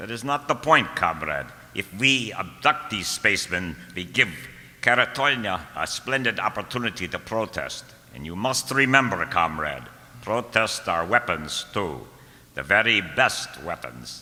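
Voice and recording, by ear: Using a put-on character voice, the speaker has a bright, sharp tone, lively intonation and a fairly slow pace. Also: man, low pitch for a man.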